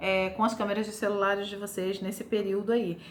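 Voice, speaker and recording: A woman talks at a fairly quick pace with a fairly high pitch. Noticeable background noise and audible room echo fill the recording. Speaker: journalism lecturer, former TV reporter. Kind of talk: lecture. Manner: fast.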